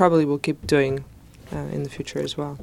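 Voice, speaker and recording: A woman speaks at a fairly quick pace. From Greece. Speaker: architect and educator. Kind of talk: interview.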